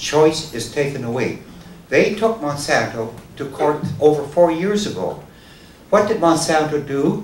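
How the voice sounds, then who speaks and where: A man talks at a fairly high pitch with very wide pitch swings. Audible room echo surrounds his voice. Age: 70s. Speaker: farmer. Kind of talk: public talk.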